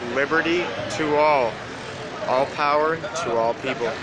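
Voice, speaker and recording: Over loud background noise, a man speaks at a fairly slow pace, the sound dry with no echo. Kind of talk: casual vlog chat. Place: street. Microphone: phone near.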